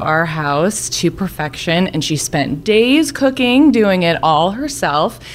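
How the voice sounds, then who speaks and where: Over noticeable background noise, a woman with a medium pitch speaks at a very slow pace with very wide pitch swings. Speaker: storyteller. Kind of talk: storytelling.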